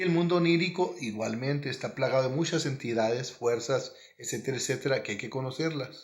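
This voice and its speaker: A somewhat breathy man with a northern Mexican accent and ordinary pitch variation. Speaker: spiritual teacher. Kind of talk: monologue.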